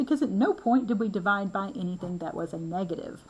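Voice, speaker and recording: A woman with a Southern accent talks at a very fast pace, her pitch swinging very widely, over noticeable background noise. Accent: southern lilt. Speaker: math instructor. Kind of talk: lecture. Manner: casual, conversational.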